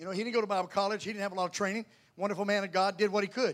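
In a Southern US accent, a man with a high pitch speaks in an animated tone. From US South, North Carolina. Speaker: Pentecostal preacher. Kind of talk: sermon. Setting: church.

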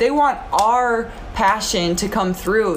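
Over noticeable background noise, a woman speaks at a fairly high pitch with very wide pitch swings. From South Dakota. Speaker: former pro basketball player. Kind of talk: casual interview.

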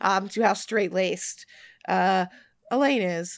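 The pitch varies in an ordinary way here. An unforced voice reads the text.

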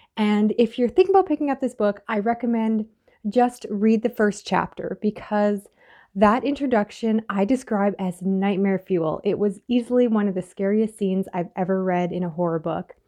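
Against a quiet background, a woman with an ordinary speaking voice talks at a moderate pace and with ordinary pitch variation. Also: medium pitch for a woman. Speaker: former co-host. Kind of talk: recorded message recommending a book.

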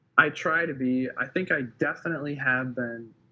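With an American accent, a man speaks at a moderate pace and medium pitch, his pitch moving in an ordinary way, in an unremarkable speaking voice. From Wisconsin, US Midwest. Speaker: filmmaker and photographer. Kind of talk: casual interview chat.

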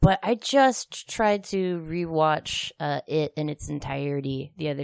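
Dry, close sound without echo, an American accent, and a quiet background. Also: woman. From Kansas, outskirts of Topeka. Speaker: comedian. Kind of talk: casual chat.

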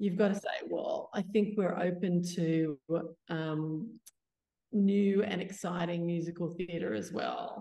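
Speaking at a very slow pace with an Australian accent, a woman uses ordinary pitch variation. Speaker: community theatre founder. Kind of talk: panel discussion.

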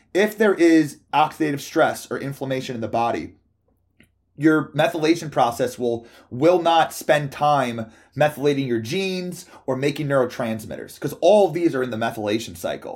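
On a very clean recording with a silent background, a normal speaking voice keeps a moderate pace and lively intonation. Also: man, fairly high pitch for a man. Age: 30s. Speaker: pharmacology scientist. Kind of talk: casual chat.

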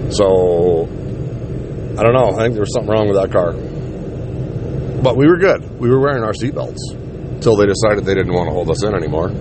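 Over noticeable background noise and audible room echo, a man with a fairly low voice talks at a moderate pace with hardly any pauses and very wide pitch swings. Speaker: podcast host. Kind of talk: casual storytelling monologue. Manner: casual, rambling.

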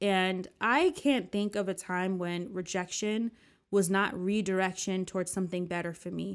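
A woman with an American accent speaks in a normal speaking voice at a medium pitch and moderate pace. Her intonation is fairly even, and the recording is very clean with a silent background. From US, New Jersey. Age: 30s. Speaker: podcast host. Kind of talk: casual personal monologue.

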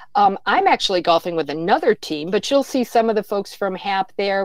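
A woman with a normal speaking voice talks at a moderate pace, her pitch sitting in the middle range. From born in Flint, Michigan, raised elsewhere. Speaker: health insurance outreach director. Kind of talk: casual interview.

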